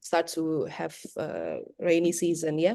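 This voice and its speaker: A woman's dark, mellow tone at a very slow pace. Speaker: English teacher trainer. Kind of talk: workshop presentation.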